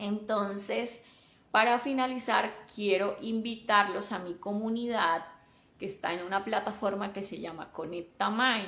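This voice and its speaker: With a Colombian coastal accent, a woman talks at a fairly slow pace. Her tone is bright and sharp, with fairly even intonation. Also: medium pitch for a woman. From Colombia, Caribbean coast. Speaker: software developer and mentor. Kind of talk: live stream talk.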